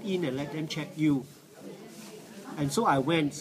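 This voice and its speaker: Noticeable background noise sits behind a man talking at a moderate pace in a fairly high pitch. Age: 60s. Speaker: cancer survivor. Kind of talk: testimony. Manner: halting, many fillers.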